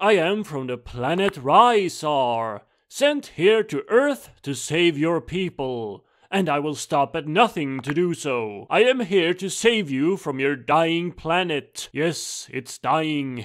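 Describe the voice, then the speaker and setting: Using a put-on character voice pitched fairly high, a man talks at a fairly slow pace with hardly any pauses, in a very clean recording with a silent background. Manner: persuasive, grandiose, turning menacing.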